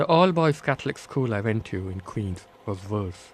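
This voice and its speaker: A man with a Bombay accent, fairly low in pitch, at a moderate pace. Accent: Bombay Indian accent, kept. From India, Bombay. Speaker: author. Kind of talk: reading aloud.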